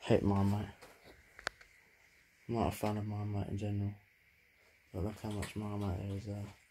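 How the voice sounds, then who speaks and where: A man with fairly low pitch talks in a monotone, flat way at a moderate pace. He leaves long, frequent pauses, and there is noticeable background noise. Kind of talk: casual vlog chat. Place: kitchen. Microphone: phone near.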